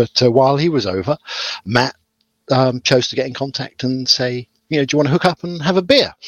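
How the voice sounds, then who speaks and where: Lively intonation marks a man's fairly quick speech. He has a normal speaking voice. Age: 40s. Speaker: podcast co-host. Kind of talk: casual chat.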